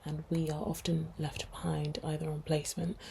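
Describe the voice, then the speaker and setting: A somewhat breathy woman's voice in a very deep, low pitch, dark and mellow in tone, with a London accent. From London, England. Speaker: podcast co-host, nurse. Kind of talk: casual chat.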